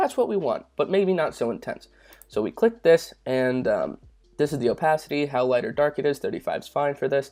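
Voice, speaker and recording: A man speaking at a fairly quick pace over background music. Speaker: YouTube tutorial creator. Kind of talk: tutorial. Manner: casual with many fillers.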